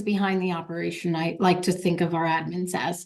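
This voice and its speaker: Over a quiet background, the speaker talks at a moderate pace. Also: woman. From New York State, Warwick area. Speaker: operations manager, podcast guest. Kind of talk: interview conversation. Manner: animated.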